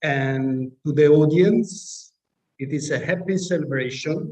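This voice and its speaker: A man speaks in an Italian accent with a dark, mellow tone. His pace is very slow, with ordinary pitch variation. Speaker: professor chairing graduation committee. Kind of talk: ceremony announcements.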